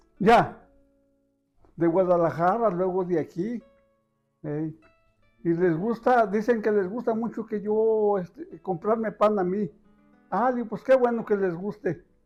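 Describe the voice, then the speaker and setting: A man with a Jalisco accent and a high pitch, with long, frequent pauses over music in the background. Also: ordinary pitch variation, fairly slow pace. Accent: Mexican Spanish, Jalisco. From Ajijic, Jalisco, Mexico. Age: 70s. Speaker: bread vendor, former gardener. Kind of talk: interview answer.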